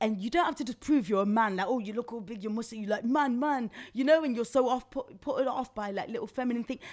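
A woman with an animated tone at a fairly high pitch, a very fast pace, hardly any pauses and ordinary pitch variation. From Nottingham, England. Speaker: radio presenter and model. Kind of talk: casual chat. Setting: studio.

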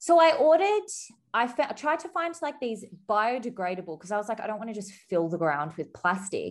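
In an Australian accent, a woman talks at a fairly quick pace with very wide pitch swings against a quiet background. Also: fairly high pitch for a woman. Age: 30s. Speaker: podcaster and wedding guest interviewee. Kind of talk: casual interview chat. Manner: animated, dramatic, laughs often.

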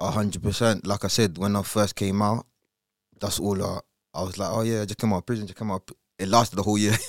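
A man's fairly low, monotone, flat voice at a very fast pace, in a dry, close sound with no echo. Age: 30s. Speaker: podcaster. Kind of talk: interview. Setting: studio.

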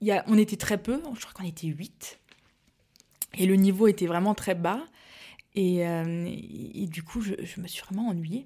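A woman's dark, mellow, somewhat breathy voice moves at a moderate pace with ordinary pitch variation and long, frequent pauses. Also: big swings in loudness. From Alsace, France (Mulhouse). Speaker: pastry entrepreneur, former neuroscientist. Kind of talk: casual interview chat. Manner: hesitant, many fillers and repetitions.

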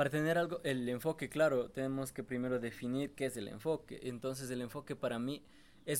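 Using a normal speaking voice, this man holds a medium pitch and keeps his intonation fairly even. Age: 20s. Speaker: young trader and online entrepreneur. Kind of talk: casual interview.

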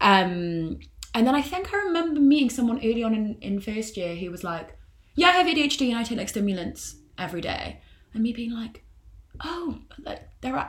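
Her voice fairly high in pitch, a woman moves through very wide pitch swings. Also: moderate pace. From northern England, Newcastle. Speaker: university student. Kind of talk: casual chat.

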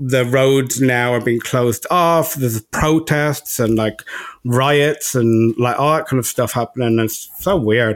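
A man with an Irish accent, medium pitch, ordinary pitch variation, a fairly slow pace and very even loudness. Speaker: podcast co-host. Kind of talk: casual chat. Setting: remote recording.

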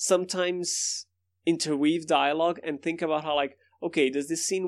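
Against a quiet background, a man with a Brazilian accent speaks at a moderate pace and fairly high pitch in a monotone, flat intonation. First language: Portuguese. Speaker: podcast host. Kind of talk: casual chat. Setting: video call.

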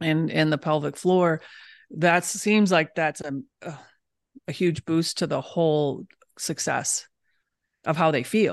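Over a quiet background, a woman with a very deep, low pitch and an American accent speaks with long, frequent pauses. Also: ordinary pitch variation, fairly slow pace. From Michigan, US Midwest. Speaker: holistic dentist. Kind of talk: casual interview chat.

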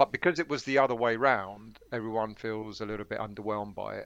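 A man uses an ordinary speaking voice at a fairly low pitch, his intonation fairly even at a moderate pace. The recording is very clean, with a silent background. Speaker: podcast guest. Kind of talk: casual chat.

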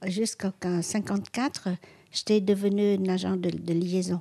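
A very slow woman's voice at medium pitch, dark and mellow in tone, with fairly even intonation and a dry, close sound with no echo. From Vietnam. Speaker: activist and former war reporter. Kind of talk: interview. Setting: at home. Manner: halting.

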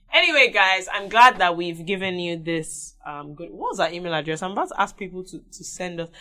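A woman talks at a fairly quick pace in a medium pitch with ordinary variation. Her loudness swings widely, and there is noticeable background noise. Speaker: podcast co-host. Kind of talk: casual chat.

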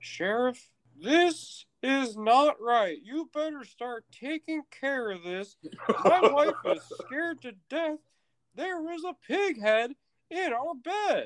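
Someone uses a high-pitched, put-on character voice at a very slow pace. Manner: stiff, flat, overdubbed.

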